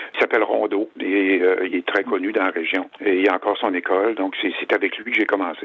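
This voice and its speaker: A man's fairly quick delivery with hardly any pauses. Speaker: wood sculptor. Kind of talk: interview. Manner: halting.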